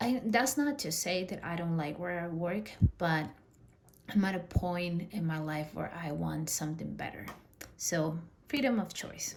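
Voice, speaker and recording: A woman with a Spanish accent, fairly low-pitched and fairly slow, with audible room echo. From Peru. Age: 30s. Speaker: personal finance vlogger. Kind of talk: personal vlog monologue. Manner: casual, with fillers.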